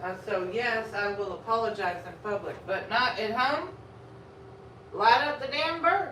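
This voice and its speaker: A woman with a Texas accent speaks at a fairly slow pace and fairly high pitch, her intonation lively, with audible room echo and noticeable background noise. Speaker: food vlogger and comedian. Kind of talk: casual live-stream chat while eating.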